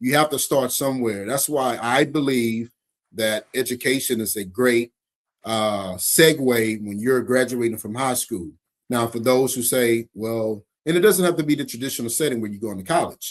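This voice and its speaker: A man's medium-pitched voice with an American accent, ordinary pitch variation and a moderate pace. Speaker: nonprofit founder. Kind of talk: interview conversation.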